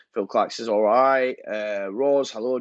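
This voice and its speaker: In a Yorkshire accent, a man talks at a moderate pace with ordinary pitch variation, in a dry, close sound with no echo and a quiet background. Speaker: football fan channel host. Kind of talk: live stream chat reading comments. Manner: casual, hesitant with fillers.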